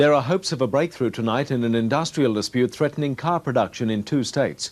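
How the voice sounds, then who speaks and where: The speaker is a man with an Australian accent. He talks very fast. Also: medium pitch for a man, ordinary pitch variation. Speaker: news presenter. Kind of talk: TV news read. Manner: calm, authoritative.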